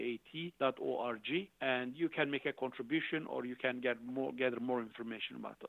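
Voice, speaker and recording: Speaking with a Turkish accent, a man talks at a fairly quick pace with a medium pitch and fairly even intonation. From Turkey, Urfa. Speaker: charity founder. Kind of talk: interview.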